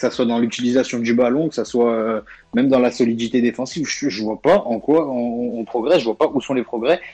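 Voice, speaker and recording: A man's tone is dark and mellow. The pitch sits at a medium level. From Lyon region, France. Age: 20s. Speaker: football journalist. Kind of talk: casual chat. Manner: halting.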